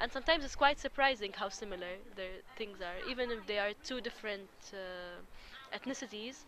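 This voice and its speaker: Speaking at a fairly quick pace with an Arabic accent, a woman uses a fairly high voice with ordinary pitch variation and big swings in loudness. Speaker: interviewee on intercultural dialogue. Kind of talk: interview.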